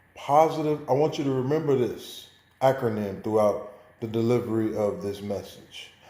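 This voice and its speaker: With an American accent, the speaker's dark, mellow tone moves at a moderate pace with ordinary pitch variation and audible room echo. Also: man. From Chicago, US Midwest. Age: 40s. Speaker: student. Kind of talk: oral presentation.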